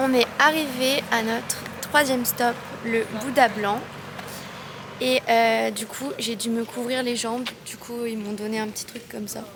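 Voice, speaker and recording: A woman's fairly slow speech with fairly even intonation and long, frequent pauses amid noticeable background noise. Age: 20s. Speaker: travel vlogger. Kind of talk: travel vlog narration. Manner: casual, hesitant with fillers; whispering.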